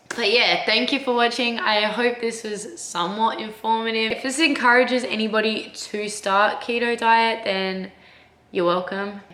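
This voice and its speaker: The woman's pitch is fairly high. Audible room echo surrounds her voice. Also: ordinary pitch variation, moderate pace. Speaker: vlogger. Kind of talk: casual vlog talk to camera. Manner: casual, chatty.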